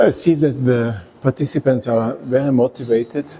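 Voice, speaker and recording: Over noticeable background noise, a man with an Austrian accent talks at a fairly slow pace. His pitch is medium and his intonation fairly even. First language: German. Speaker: resource efficiency consultant and engineer. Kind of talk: interview. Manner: halting.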